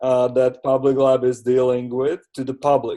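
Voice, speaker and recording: A man speaks fairly slowly in a medium pitch, his tone dark and mellow, with a non-native accent. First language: not English. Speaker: community participant presenting session takeaways. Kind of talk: online seminar discussion. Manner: halting, many fillers and repetitions.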